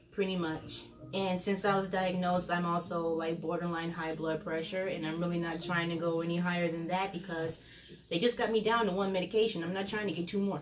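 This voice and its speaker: With noticeable background noise and audible room echo, a woman speaks at a fairly low pitch. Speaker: vlogger sharing her illness journey. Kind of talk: casual vlog chat. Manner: slightly slurred speech.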